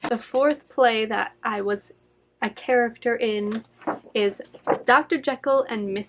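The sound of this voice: The pitch varies in an ordinary way as an unforced voice reads.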